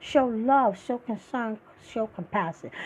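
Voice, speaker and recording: This woman speaks with an American accent. Her tone is dark and mellow, and somewhat breathy. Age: 60s. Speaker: podcast host. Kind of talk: political commentary monologue. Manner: animated.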